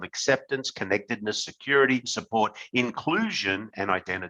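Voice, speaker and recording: A man's medium-pitched voice with a bright, sharp tone, an Australian accent and a moderate pace. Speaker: company executive. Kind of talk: webinar talk. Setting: webinar.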